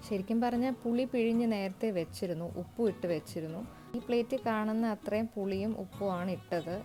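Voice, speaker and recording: Music plays behind a woman speaking. Her pitch is medium, with ordinary pitch variation. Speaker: cooking vlogger. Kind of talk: casual talk to camera.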